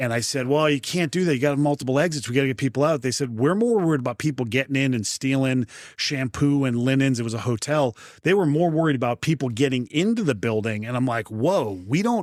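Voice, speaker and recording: A man with a New England accent speaks very fast at a medium pitch with ordinary pitch variation, in a dry, close sound with no echo on a very clean recording with a silent background. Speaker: fire protection executive. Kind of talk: interview.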